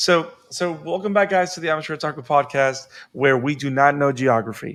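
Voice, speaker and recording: With a Spanish accent, a man with a fairly high pitch speaks at a fairly quick pace in an animated tone with ordinary pitch variation. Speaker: podcast host. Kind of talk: casual chat.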